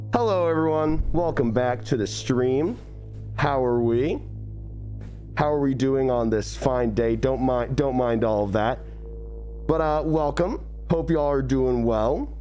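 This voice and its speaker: A man speaks at a fairly slow pace with long, frequent pauses. Music plays in the background. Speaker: livestreamer. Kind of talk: casual stream chat. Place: home room. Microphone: studio mic.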